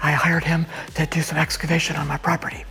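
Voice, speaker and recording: Noticeable background noise accompanies speech delivered at a fairly quick clip. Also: man. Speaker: church member. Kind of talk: testimony.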